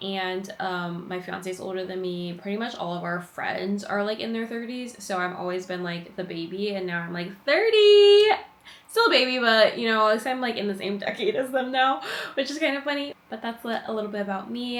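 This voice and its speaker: A woman speaks at a moderate pace and medium pitch, with ordinary pitch variation and noticeable background noise behind her. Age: 20s. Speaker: lifestyle vlogger. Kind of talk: casual vlog monologue. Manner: chatty, lots of fillers.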